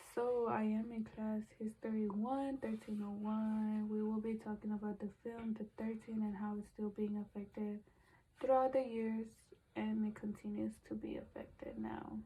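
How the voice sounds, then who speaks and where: A woman speaks at a fairly high pitch and moderate pace, with monotone, flat intonation. Her tone is dark and mellow, and somewhat breathy. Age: 20s. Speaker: college student. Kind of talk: class presentation discussion.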